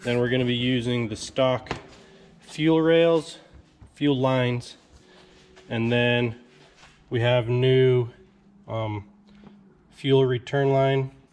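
A man speaks at a very slow pace and a medium pitch, with long, frequent pauses. His intonation is fairly even against noticeable background noise. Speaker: DIY truck mechanic video host. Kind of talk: casual how-to vlog.

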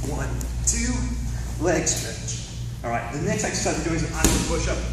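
A man's speech carries audible room echo amid noticeable background noise. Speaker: fitness instructor. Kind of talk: tutorial. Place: gym. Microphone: camera far.

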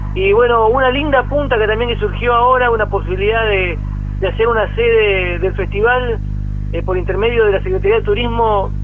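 There is light background noise as a man talks at a moderate pace. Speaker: radio guest. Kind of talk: interview answer. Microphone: phone line.

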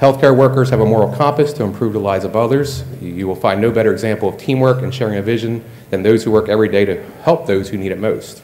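A man talks at a very fast pace, with hardly any pauses. His pitch varies in an ordinary way over light background noise. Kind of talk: acceptance speech. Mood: slightly nervous, self-deprecating. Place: hall. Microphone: podium.

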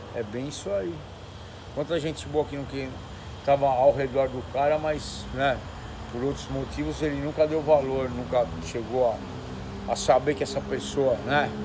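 Against noticeable background noise, a man speaks fairly slowly with long, frequent pauses. His medium pitch has ordinary variation. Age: 60s. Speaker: former internet TV show host. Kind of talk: casual chat. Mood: reflective, somewhat bitter. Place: street. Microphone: phone near.

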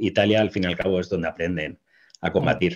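The surroundings are quiet. A man's intonation stays fairly even. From Spain. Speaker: military historian; guest. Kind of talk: interview talk on history. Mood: relaxed, explanatory. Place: home room. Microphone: webcam.

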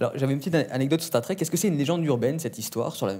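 Over a quiet background, a man speaks in a dark, mellow tone with ordinary pitch variation. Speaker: interviewer. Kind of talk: interview questions. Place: studio.

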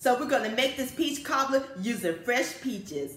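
A high-pitched woman at a moderate pace, with music in the background and audible room echo. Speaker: home cooking channel host. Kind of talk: cooking show intro. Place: home room. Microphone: camera far.

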